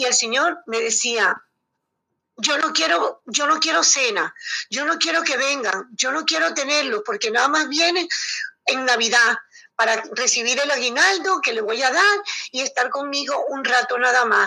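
Raising and projecting her high voice, a woman speaks at a fairly slow pace with lively intonation. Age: 60s. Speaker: elderly caregiver. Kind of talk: interview.

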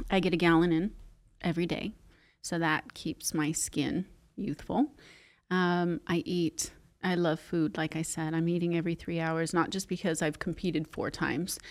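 In a plain, everyday voice, a woman speaks at a fairly low pitch and a moderate pace. The intonation stays fairly even, and the recording is very clean with a silent background. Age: 50s. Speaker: Pilates instructor and studio owner. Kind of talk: casual interview.

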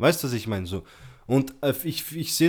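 Vocal fry and lively intonation come through at a moderate pace. The recording is very clean with a silent background. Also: man. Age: 20s. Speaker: podcast guest. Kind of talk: casual chat.

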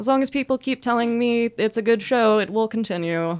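In a very clean recording with a silent background, a woman with an unremarkable speaking voice talks at a moderate pace with lively intonation. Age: 20s. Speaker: comedian. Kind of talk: casual chat.

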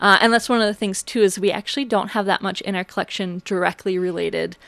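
The recording is very clean with a silent background. The speaker has an Upper Midwest accent and fairly even intonation. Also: woman. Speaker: museum curator. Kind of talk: radio interview.

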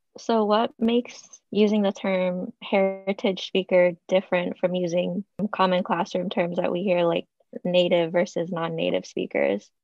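A woman talks at a moderate pace with fairly even intonation and a medium pitch. Hers is an unremarkable speaking voice. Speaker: podcast co-host, student. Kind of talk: casual interview.

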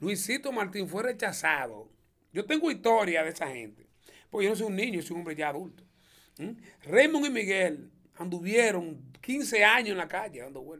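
A man speaks at a high pitch with a bright, sharp tone. His pitch swings very widely at a moderate pace. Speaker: comedian and auto mechanic. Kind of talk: interview.

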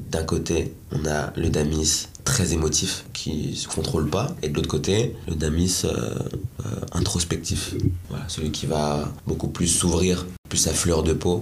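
Amid noticeable background noise and audible room echo, a man with a very deep, low pitch speaks at a very slow pace with ordinary pitch variation. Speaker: rapper and musician. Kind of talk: casual interview. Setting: studio.

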